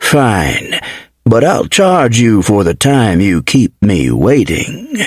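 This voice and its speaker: A man does a put-on character voice at a medium pitch. He goes at a very slow pace. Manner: grudging, mercenary.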